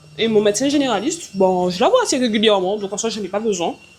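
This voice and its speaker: Over noticeable background noise, a woman talks at medium pitch with lively intonation. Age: 20s. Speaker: vlogger and entrepreneur. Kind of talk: casual vlog talk to camera. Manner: loud; hesitant, many fillers.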